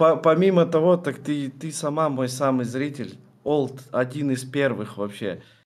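Fairly high in pitch, a man speaks at a fairly slow pace with ordinary pitch variation. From Kazakhstan (Kostanay); Kazakhstan. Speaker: streamer. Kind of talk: interview. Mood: relaxed, friendly. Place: home room.

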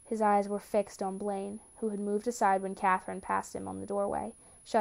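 This is a natural reading voice.

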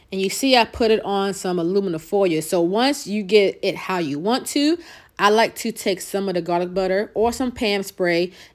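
In an American accent, a woman speaks at a moderate pace and a medium pitch with ordinary pitch variation. The recording is very clean, with a silent background. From New York. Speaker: cooking channel host. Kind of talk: cooking tutorial. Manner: casual, chatty.

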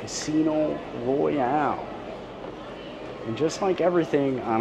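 Noticeable background noise sits under the audio. The words unfold at a very slow pace. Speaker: travel vlogger filming. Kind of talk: casual vlog chat. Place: boat. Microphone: phone near.

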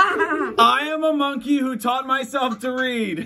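A man does a put-on character voice at an extremely high pitch, speaking at a fairly slow pace. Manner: silly, playful.

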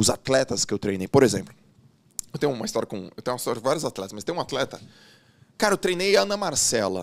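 Against a quiet background, a man speaks very fast with very wide swings in pitch. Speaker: former swimmer, coach and business mentor; coach. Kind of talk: casual interview. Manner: animated. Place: studio. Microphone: studio mic.

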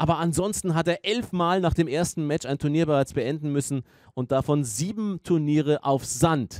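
This very clean recording with a silent background has a man in an unremarkable speaking voice, moving at a moderate pace with ordinary pitch variation. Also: fairly high pitch for a man. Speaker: tennis commentator. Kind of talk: live sports commentary on a tennis match. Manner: fluent, engaged, analytical play-by-play.

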